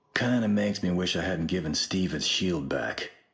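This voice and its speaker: A man uses a put-on character voice with a very deep, low pitch and ordinary pitch variation. His loudness stays very even at a moderate pace. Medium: video game. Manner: gruff, blunt.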